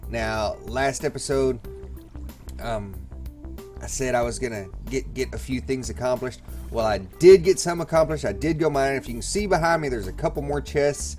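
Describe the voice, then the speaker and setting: Music in the background beneath a man talking at a moderate pace. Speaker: gamer. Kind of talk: casual gameplay commentary.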